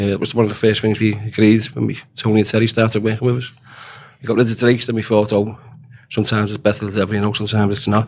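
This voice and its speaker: Delivered at a very fast pace, the speech comes in a Liverpool accent with monotone, flat intonation. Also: man, fairly low pitch for a man. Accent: Liverpool (Scouse). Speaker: dock worker and shop steward. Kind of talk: interview. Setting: studio.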